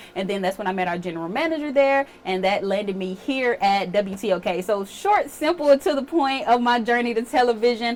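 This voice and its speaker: A woman with a fairly high pitch and lively intonation speaks at a fairly quick pace, with noticeable background noise behind her. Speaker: TV meteorologist. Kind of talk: casual chat. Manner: relaxed.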